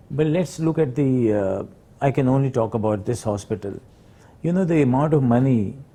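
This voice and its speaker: Pausing long and often, a man talks in a dark, mellow, somewhat breathy tone with ordinary pitch variation. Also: medium pitch for a man. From Pakistan, Peshawar. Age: 60s. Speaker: hospital founder and doctor. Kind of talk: interview. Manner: halting, many fillers.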